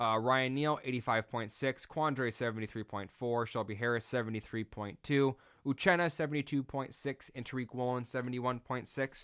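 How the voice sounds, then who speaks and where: A man talks with fairly even intonation and hardly any pauses. The recording is very clean, with a silent background. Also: medium pitch for a man. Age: 30s. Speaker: sports podcast host. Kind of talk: casual solo sports commentary. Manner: fast, tongue-tied.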